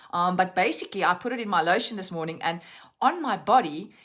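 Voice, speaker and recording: In a South African accent, a woman at a medium pitch speaks at a fairly quick pace with lively intonation on a very clean recording with a silent background. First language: Afrikaans. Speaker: essential oils educator. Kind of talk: live-stream lesson. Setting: Facebook live stream.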